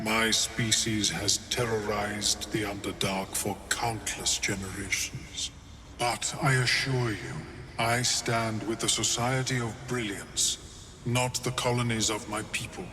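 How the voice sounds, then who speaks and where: Over clear background noise, a man puts on a character voice at a fairly slow pace. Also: medium pitch for a man. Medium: video game. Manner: measured, clinical.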